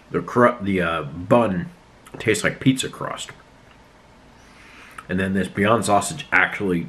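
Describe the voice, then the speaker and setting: This man's voice sits at a fairly low pitch. He speaks at a moderate pace. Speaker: food reviewer. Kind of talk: casual vlog chat. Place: home room. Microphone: phone near.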